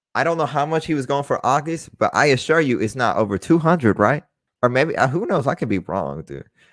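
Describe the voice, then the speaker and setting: A man with an American accent, a fairly high pitch and vocal fry, lively in intonation at a fairly quick pace. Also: very clean recording, silent background. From Texas, Dallas. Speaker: sports card collector and podcast host. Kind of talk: casual live-stream chat. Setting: live stream. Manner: rambling, halting with fillers.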